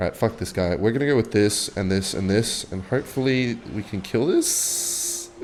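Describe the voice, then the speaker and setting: A medium-pitched male voice at a moderate pace, with ordinary pitch variation, hardly any pauses and noticeable background noise. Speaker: gaming youtuber. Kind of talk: casual gameplay commentary with storytelling. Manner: rambling, animated.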